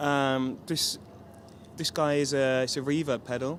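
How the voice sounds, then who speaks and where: A man with a British accent, fairly high pitch, fairly even intonation and a fairly slow pace. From London, England. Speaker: touring guitarist. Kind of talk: interview.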